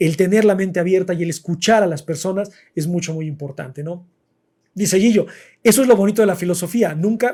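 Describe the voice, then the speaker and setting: At a fairly quick pace, a man with a Mexican accent speaks in a high, dark, mellow voice with ordinary pitch variation. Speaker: philosophy livestream host. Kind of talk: live stream chat about philosophy. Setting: live stream. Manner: fast.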